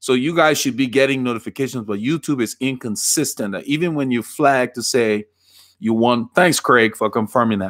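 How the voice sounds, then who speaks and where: A man with a Liberian accent talks at a moderate pace, his pitch medium with ordinary variation. The sound is dry and close with no echo, the recording very clean over a silent background. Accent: Liberian, island-like twang. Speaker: cycling coach and bike fitter. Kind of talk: live stream Q&A. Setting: live stream.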